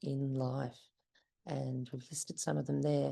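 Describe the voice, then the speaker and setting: A woman's dark, mellow voice with an Australian accent and lively intonation, against a quiet background. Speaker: parent of a patient. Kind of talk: conference presentation.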